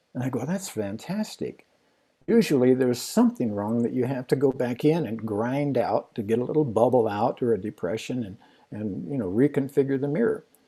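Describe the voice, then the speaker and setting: On a very clean recording with a silent background, a man speaks with lively intonation in a medium-pitched voice that has a dark, mellow tone. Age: 80s+. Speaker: amateur astronomer. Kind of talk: storytelling in a livestream Q&A. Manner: halting.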